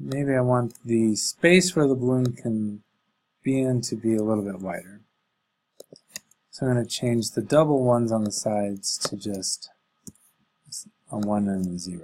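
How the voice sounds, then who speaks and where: Long, frequent pauses break up a man's speech, delivered at a moderate pace and medium pitch with ordinary pitch variation. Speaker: coding teacher for elementary students. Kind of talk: tutorial. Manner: casual, thinking aloud.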